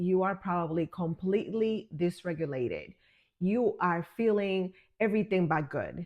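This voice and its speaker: A woman with a normal speaking voice talks at a moderate pace, her medium pitch showing ordinary pitch variation. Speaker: wellness and business coach. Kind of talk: guided healing talk to camera.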